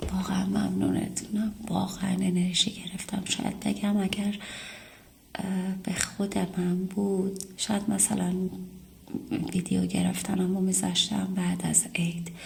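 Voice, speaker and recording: A woman at a very slow pace, with long, frequent pauses, very even loudness and noticeable background noise. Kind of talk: casual talk to camera, apology and thanks to subscribers.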